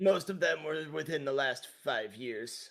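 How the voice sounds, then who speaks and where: Using a put-on character voice, a man speaks in a raspy, fairly high pitch at a fairly slow pace. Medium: game stream. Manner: hesitant, evasive.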